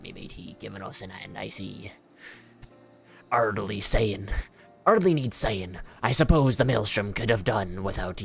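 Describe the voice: Over faint background music, a put-on character voice speaks low and very slowly, with long, frequent pauses.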